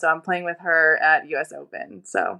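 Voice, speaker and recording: With an American accent, a woman speaks at a fairly low pitch. Her tone is bright and sharp. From US, Destin, Florida. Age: 30s. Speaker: professional tennis player. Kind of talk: casual chat.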